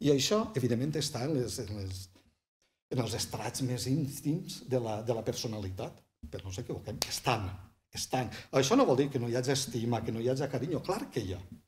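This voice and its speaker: With a southern Valencian accent, a man speaks at a fairly quick pace, somewhat breathy, with ordinary pitch variation over light background noise. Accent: southern Valencian Catalan. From Vall d'Albaida, Valencia (L'Olleria). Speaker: writer and poet; poet. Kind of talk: casual interview. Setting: small bookshop set up as studio. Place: studio.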